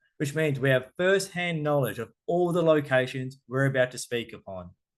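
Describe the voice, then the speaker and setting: This man has an Australian accent and a fairly high pitch. He talks at a moderate pace with lively intonation. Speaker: cruise tour director. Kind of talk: travel presentation. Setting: online virtual event.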